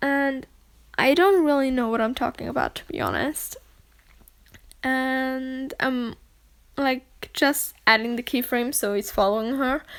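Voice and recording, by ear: Speaking at a fairly slow pace, a woman with a high pitch uses lively intonation and a clear, smooth tone.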